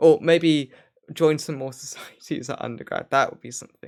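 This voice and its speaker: There is vocal fry as a man speaks at a moderate pace. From Wales, Swansea area. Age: 20s. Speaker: talk show host and PhD student. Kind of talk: casual chat. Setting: live stream.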